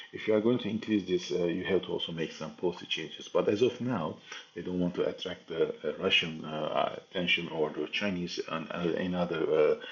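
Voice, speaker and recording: Over noticeable background noise, a man with a Turkish accent speaks at a fairly quick pace with hardly any pauses. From Turkey. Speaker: geopolitics commentator. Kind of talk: analysis talk. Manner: halting, many fillers.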